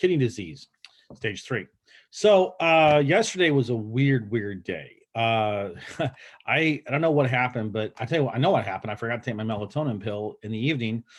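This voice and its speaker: A man with a normal speaking voice, medium pitch, lively intonation and a fairly quick pace. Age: 50s. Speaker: health vlogger. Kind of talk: casual talk to camera.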